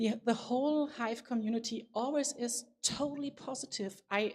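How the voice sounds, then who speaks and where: At a moderate pace, a woman with a non-native accent speaks in a fairly high voice with ordinary pitch variation. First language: not English. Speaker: conference speaker. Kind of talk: keynote talk. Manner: halting.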